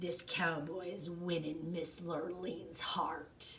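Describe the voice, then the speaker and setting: Over clear background noise, a put-on character voice growls at a middle pitch and a very slow pace. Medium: read story.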